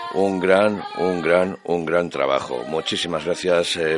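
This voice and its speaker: Over music in the background, a man speaks very slowly with ordinary pitch variation. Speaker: radio host. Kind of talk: radio show presenting. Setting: radio studio. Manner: warm, chatty.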